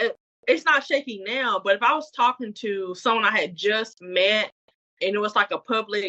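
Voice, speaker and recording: A woman's ordinary speaking voice, fairly high in pitch, with ordinary pitch variation and a moderate pace. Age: 30s. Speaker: podcast co-host. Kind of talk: casual chat. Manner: conversational, filler-heavy.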